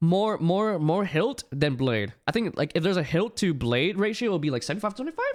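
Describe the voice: The text is read aloud plainly. Its intonation rises and falls in a lively way.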